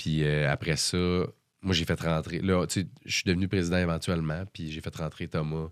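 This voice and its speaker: In a Quebec accent, a man speaks at a moderate pace with a very deep, low pitch and monotone, flat intonation. The recording is very clean, with a silent background. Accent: Québécois French. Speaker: musician. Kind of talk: casual interview chat. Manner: hesitant, many fillers.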